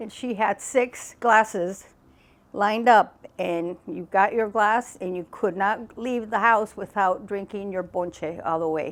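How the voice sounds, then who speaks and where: An ordinary speaking voice, a woman with an American accent talks at a fairly slow pace and medium pitch with fairly even intonation, on a very clean recording with a silent background. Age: 60s. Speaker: interviewee, family member. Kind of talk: interview reminiscence.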